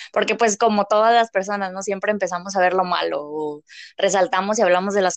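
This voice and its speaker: An unremarkable speaking voice moves at a fairly quick pace with ordinary pitch variation. The sound is dry and close, with no echo. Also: woman. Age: 20s. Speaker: business administration graduate, small business owner. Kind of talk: casual chat.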